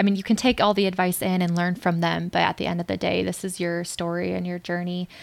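In an American accent, the speaker talks at a very fast pace with hardly any pauses and a monotone, flat intonation. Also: woman, fairly low pitch for a woman. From US Midwest, St. Louis. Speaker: new medical graduate, incoming OB/GYN resident. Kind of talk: interview.

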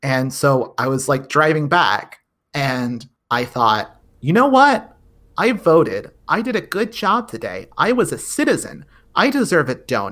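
Over a very clean recording with a silent background, a man with a bright, sharp tone and fairly high pitch talks at a fairly slow pace, his pitch swinging very widely. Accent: American. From Texas. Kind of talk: casual chat.

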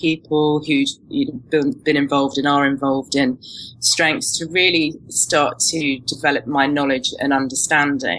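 Speaking at a moderate pace in a British accent, a woman with a very deep, low pitch keeps her intonation fairly even. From UK. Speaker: strengths coach and NLP practitioner. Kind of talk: podcast interview.

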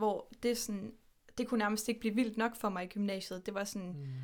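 A woman's fairly high pitch with fairly even intonation, in a normal speaking voice. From Denmark, Horsens. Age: 20s. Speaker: podcast guest. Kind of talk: casual interview.

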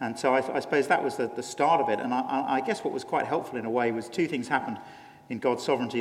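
Ordinary pitch variation in a British accent, over noticeable background noise. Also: man. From England. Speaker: pastor. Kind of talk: conference interview.

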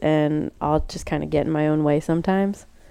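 A woman talks at a moderate pace with fairly even intonation. Her tone is dark and mellow. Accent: American. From Florida, US (Port Orange). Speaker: weightlifter. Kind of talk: interview.

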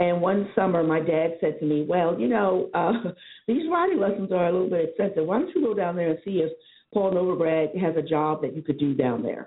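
A woman with an American accent and an unremarkable speaking voice talks at a fairly quick pace and fairly low pitch, with ordinary pitch variation. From New York City (Harlem). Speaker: PR agency diversity executive. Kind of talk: interview.

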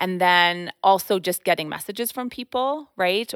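A woman speaks with a Canadian accent at a moderate pace, her pitch fairly low with ordinary variation. The recording is very clean with a silent background and a dry, close sound with no echo. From eastern Canada. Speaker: children's book author. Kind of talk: casual interview.

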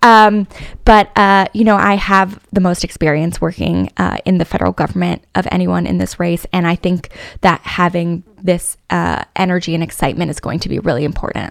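The recording is dry and close, without any echo. A woman talks at a moderate pace. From San Diego, California. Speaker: congressional candidate. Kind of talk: political interview.

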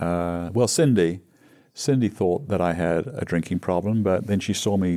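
A man speaks with an English accent in a very deep, low voice with a dark, mellow tone. His intonation is lively and his pace moderate, on a very clean recording with a silent background. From England. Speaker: recovering alcoholic sharing story. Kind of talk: casual interview storytelling.

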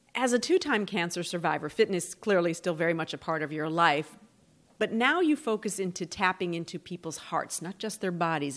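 In a very clean recording with a silent background, a woman speaks in an unremarkable speaking voice, fairly low in pitch with ordinary pitch variation. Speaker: podcast host.

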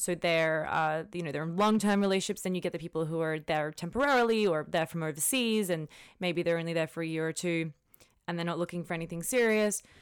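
A fairly low-pitched woman with an Australian accent at a very fast pace, with ordinary pitch variation, in a very clean recording with a silent background. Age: 20s. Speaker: lawyer. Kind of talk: casual chat.

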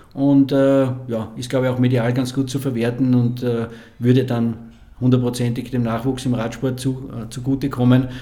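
At a moderate pace and in an Austrian accent, the speaker delivers a flat, monotone line in a dark, mellow tone, with audible room echo. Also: man, medium pitch for a man. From Lower Austria. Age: 60s. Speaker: former cyclist and sports marketing manager. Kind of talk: casual interview.

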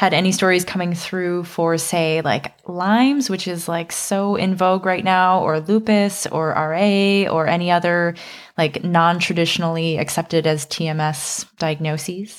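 Recorded very cleanly against a silent background, a woman speaks at a fairly slow pace with fairly low pitch. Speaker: podcast host. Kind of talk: casual interview. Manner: animated.

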